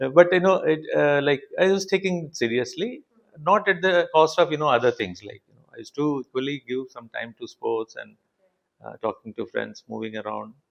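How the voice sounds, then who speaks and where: A man speaks with a Telugu accent at a fairly high pitch. His pitch swings very widely, and the sound is dry and close with no echo. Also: moderate pace, big swings in loudness. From India, Telugu-speaking south. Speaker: engineering professor and institute director. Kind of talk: interview conversation. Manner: halting, many fillers.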